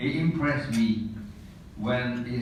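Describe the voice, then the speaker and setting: Room echo is audible as a man talks. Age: 80s+. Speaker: retired engineer and colleague giving award tribute. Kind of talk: prepared tribute speech. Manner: formal.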